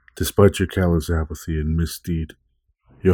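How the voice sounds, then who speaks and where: In a solemn, theatrical delivery, a man with a very deep, low pitch and a dark, mellow, somewhat breathy tone speaks at a fairly slow pace with fairly even intonation, on a very clean recording with a silent background. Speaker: poet and podcast host. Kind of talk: poetry reading, dramatic and gothic, read aloud from his own written poem. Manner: solemn, brooding, measured and theatrical.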